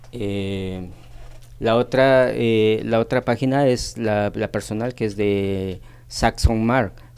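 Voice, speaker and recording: At a very slow pace, a man speaks with a fairly low pitch and fairly even intonation. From Mexico, Tehuacán, Puebla. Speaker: nutritionist. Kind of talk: radio interview. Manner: halting.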